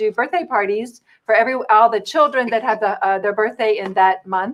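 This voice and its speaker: A woman with a Louisiana accent, fairly high pitch and ordinary pitch variation. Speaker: clown and children's entertainer. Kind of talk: casual chat.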